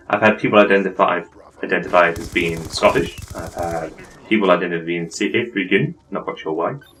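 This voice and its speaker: Very fast male speech amid noticeable background noise. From Wales. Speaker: gaming commentator. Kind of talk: gameplay commentary. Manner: rambling, many fillers.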